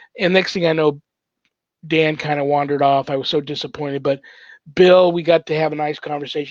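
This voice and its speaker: A man speaks at a very fast pace with a fairly high pitch. The sound is dry and close, with no echo. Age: 60s. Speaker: paranormal ministry host, priest. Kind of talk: casual chat, storytelling. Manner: animated.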